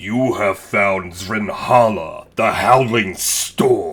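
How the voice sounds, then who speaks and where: In a raspy, put-on character voice, the speaker goes at a very slow pace. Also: man. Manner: booming.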